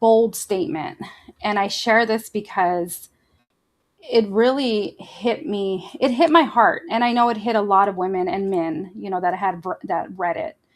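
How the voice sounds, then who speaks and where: With a plain, everyday voice, a woman speaks at a medium pitch and a fairly slow pace, her intonation lively. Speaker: podcast host and coach. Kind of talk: casual podcast talk to camera. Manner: warm, conversational.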